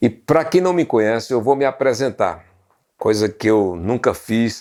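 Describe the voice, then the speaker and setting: A man talks in a normal speaking voice at medium pitch. He keeps a fairly slow pace. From Brazil, Pernambuco sertão (Serra Talhada). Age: 60s. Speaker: journalist and history channel host. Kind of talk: documentary narration to camera.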